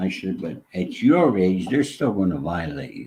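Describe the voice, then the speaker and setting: This man has an American accent and a very deep, low pitch with very wide swings. His tone is dark and mellow, with vocal fry. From New York State. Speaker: former mobster in recovery. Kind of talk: interview storytelling. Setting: live online interview.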